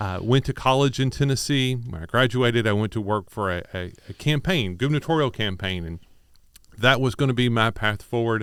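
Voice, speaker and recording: At a fairly quick pace, a man with a slight Kentucky accent talks at a medium pitch. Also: ordinary pitch variation, very clean recording, silent background. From Kentucky, Louisville. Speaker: business chamber executive. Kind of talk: radio interview. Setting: studio.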